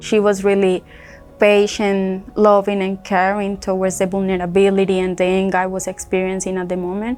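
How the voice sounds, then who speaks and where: At a moderate pace, a woman with a Spanish accent speaks at medium pitch. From Colombia. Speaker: accident survivor, rehab client. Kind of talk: testimony.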